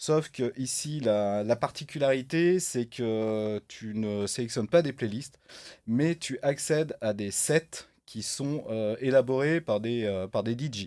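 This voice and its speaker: A man talks at a fairly slow pace in a medium pitch, his tone dark and mellow with ordinary pitch variation. The recording is very clean, with a silent background. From France, Saint-Étienne (Loire). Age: 50s. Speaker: entrepreneur. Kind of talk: podcast interview. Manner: hesitant, many fillers.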